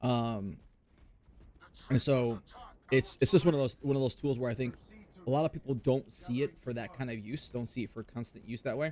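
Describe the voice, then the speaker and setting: A man with a dark, mellow tone talks at a fairly quick pace and medium pitch, with ordinary pitch variation and long, frequent pauses. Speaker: gaming streamer. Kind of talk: casual live stream chat while gaming. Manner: loud.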